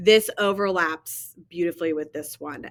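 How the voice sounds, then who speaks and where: An unremarkable speaking voice moves at a fairly slow pace with fairly even intonation. The recording is very clean with a silent background. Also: woman. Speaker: history teacher. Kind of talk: lecture.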